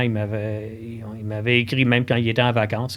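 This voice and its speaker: Moderate pace and fairly even intonation in an unremarkable speaking voice. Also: man. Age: 60s. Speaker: cross-country ski expert at a sports shop. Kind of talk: casual podcast interview.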